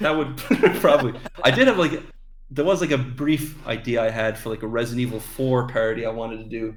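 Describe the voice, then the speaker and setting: Talking at a very fast pace, a man uses a medium pitch with ordinary variation and big swings in loudness. Room echo is audible. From Ireland. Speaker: animator and voice actor. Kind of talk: casual interview chat. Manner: hesitant, many fillers.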